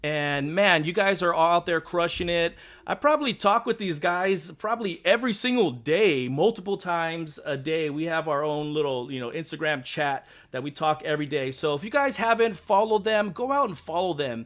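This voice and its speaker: A loud, animated man's voice, high in pitch, at a moderate pace, in a very clean recording with a silent background. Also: lively intonation. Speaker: YouTube fan-theory host. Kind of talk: live stream casual chat.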